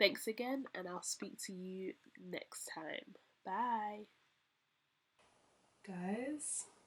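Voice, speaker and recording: A woman's fairly high voice with lively intonation, big swings in loudness, long, frequent pauses and a very slow pace. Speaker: interior design vlogger. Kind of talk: casual vlog talk to camera. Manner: energetic, trying to keep upbeat.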